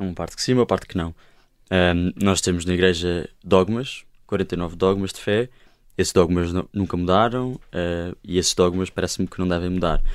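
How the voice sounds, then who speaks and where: A man's very deep, low voice at a moderate pace, with fairly even intonation, in a very clean recording against a silent background. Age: 20s. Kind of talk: panel discussion. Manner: halting.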